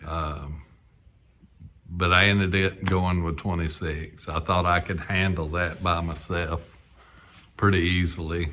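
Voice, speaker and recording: A man with a very deep, low pitch and a bright, sharp tone speaks with monotone, flat intonation and long, frequent pauses. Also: fairly slow pace. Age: 60s. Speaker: sailing vlogger and amateur boat builder. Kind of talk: casual vlog narration. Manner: hesitant, many fillers.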